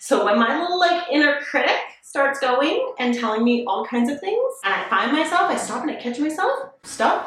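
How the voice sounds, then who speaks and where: A woman with a high pitch speaks in an energetic tone with lively intonation at a moderate pace, with hardly any pauses. Noticeable background noise and audible room echo surround her. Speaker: lifestyle YouTuber. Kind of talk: motivational vlog talk.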